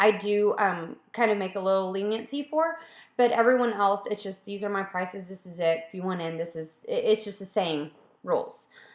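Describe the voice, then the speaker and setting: The voice moves at a fairly quick pace with ordinary pitch variation, with audible room echo over a quiet background. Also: woman. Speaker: photographer. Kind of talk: casual Q&A video. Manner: fast. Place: home room. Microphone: webcam.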